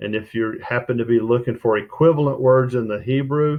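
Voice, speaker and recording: With an ordinary speaking voice, a man keeps a fairly even intonation at a moderate pace. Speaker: Bible study teacher. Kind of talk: tutorial.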